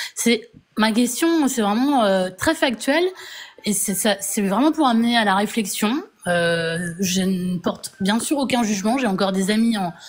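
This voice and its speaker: A woman's fairly high voice with lively intonation and very even loudness, at a very slow pace with long, frequent pauses, over noticeable background noise. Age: 40s. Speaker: viewer asking a question. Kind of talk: casual chat. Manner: halting.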